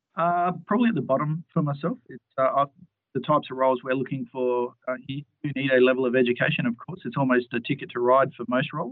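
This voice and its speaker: The pitch moves in an ordinary way. The pace is very fast. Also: man, fairly high pitch for a man. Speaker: HS team lead, line manager. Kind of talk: interview Q&A. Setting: phone or video call.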